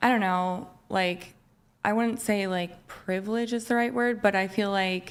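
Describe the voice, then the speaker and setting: The delivery is fairly slow. Intonation stays fairly even. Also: woman. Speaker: panel guest. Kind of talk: casual debate. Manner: halting.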